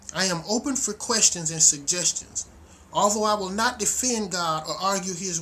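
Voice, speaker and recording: A man does the talking. Noticeable background noise is present too. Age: 60s. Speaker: minister. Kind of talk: video sermon introduction. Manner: casual, animated.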